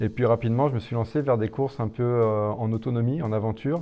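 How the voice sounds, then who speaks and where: A man's dark, mellow tone. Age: 50s. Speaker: ultra-distance runner. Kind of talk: interview. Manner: hesitant, many fillers.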